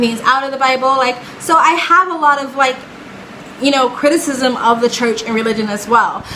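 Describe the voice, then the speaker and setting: A woman with a high pitch speaks in a raised, projected voice with an animated tone. The room echo is audible, and background noise is noticeable. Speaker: reaction video creator. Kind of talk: casual commentary. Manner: fast.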